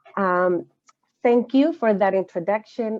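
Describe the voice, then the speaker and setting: A woman with a Chilean accent talks at a moderate pace. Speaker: social justice educator. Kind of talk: lecture. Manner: halting.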